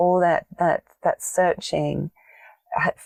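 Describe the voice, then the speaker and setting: Speaking in an English accent, the voice moves at a fairly slow pace. The sound is dry and close, with no echo. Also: woman. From England. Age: 50s. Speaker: meditation teacher and soul coach. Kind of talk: podcast interview.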